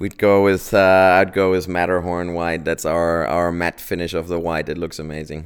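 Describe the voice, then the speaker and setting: A man with a German accent speaks at a moderate pace with hardly any pauses, his very deep, low pitch held in a monotone, flat intonation. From Germany. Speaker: auto company executive. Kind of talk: interview. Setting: company office. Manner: halting, many fillers.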